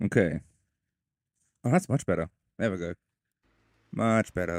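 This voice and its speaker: The speech moves at a moderate pace with lively intonation. The sound is dry and close, with no echo. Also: man, fairly low pitch for a man. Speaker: gaming streamer. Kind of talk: live gameplay commentary. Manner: casual.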